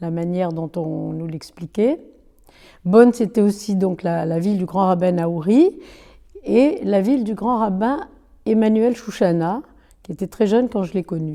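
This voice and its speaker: Over a very clean recording with a silent background, a woman with a medium pitch and a dark, mellow tone speaks at a fairly slow pace, with ordinary pitch variation and long, frequent pauses. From Algeria (Bône / Annaba). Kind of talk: oral history interview answer.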